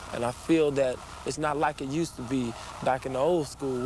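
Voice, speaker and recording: The pace is fairly quick as a man talks in a flat monotone. The sound is dry with no echo, but background noise is noticeable. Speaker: interviewee. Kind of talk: interview answer, storytelling. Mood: reflective, serious. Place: street. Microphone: old recording.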